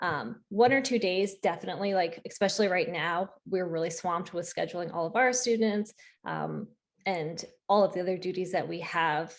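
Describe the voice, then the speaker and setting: A woman speaks in an ordinary speaking voice at a medium pitch. Her pace is moderate. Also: quiet background. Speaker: school counselor. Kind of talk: Q&A at virtual parent meeting. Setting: video call.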